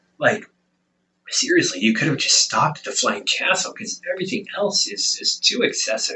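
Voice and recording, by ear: A man puts on a character voice at a fairly high pitch, with lively intonation and a moderate pace. The tone is bright and sharp with a husky, rough edge.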